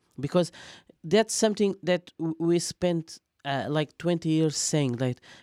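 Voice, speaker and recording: A man speaks fairly slowly with a Portuguese accent, his tone dark and mellow and his pitch varying in an ordinary way. The recording is very clean and dry, close with no echo, over a silent background. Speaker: football fan guest. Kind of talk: casual chat.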